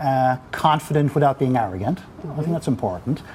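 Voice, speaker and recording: Against noticeable background noise, a man speaks with an Irish accent. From Ireland. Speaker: business executive. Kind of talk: interview. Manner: halting.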